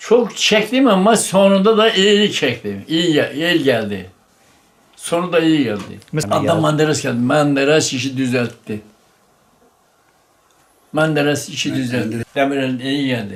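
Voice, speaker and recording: At a very slow pace, the speaker's pitch swings very widely between long, frequent pauses. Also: man, fairly high pitch for a man. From Giresun, Turkey. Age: 80s+. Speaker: former shepherd. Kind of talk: interview answer.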